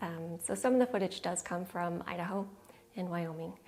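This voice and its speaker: A woman talks at a medium pitch in an American accent. Her voice is somewhat breathy. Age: 40s. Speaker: minimalism vlogger. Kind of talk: casual Q&A to camera. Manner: slow.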